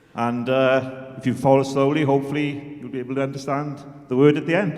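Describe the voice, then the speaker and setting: A man speaks fairly quickly with fairly even intonation, his voice carrying audible room echo amid noticeable background noise. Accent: South Welsh. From South Wales. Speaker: choir member. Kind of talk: stage demonstration. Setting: stage with audience.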